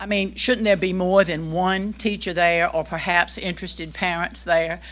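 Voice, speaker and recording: On a very clean recording with a silent background, a woman talks at a moderate pace with vocal fry. Her pitch is fairly low and her intonation fairly even. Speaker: public commenter, retired teacher. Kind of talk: public comment at board meeting. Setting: public meeting room.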